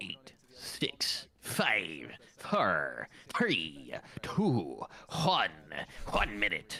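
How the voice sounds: A man's raspy, put-on character voice, playful in tone and delivered at a very slow pace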